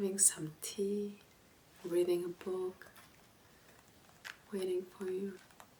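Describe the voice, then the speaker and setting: A soft-spoken voice moves at a very slow pace with long, frequent pauses, over noticeable background noise. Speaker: ASMR content creator. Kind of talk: comforting ASMR roleplay, casual talk to the listener. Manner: soft-spoken, calming.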